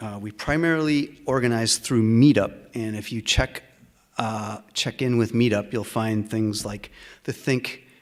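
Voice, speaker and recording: A man with a plain, everyday voice, medium pitch, moderate pace and ordinary pitch variation, on a very clean recording with a silent background. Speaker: meeting host for a humanist group. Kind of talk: event announcements. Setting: meeting room with live audience. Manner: many filler words.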